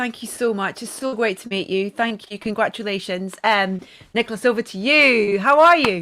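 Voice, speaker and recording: Speaking in a Scottish accent, a woman uses a bright, sharp tone at a fairly high pitch, with ordinary pitch variation and a moderate pace. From Scotland. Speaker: event presenter. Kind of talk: live interview. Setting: live show.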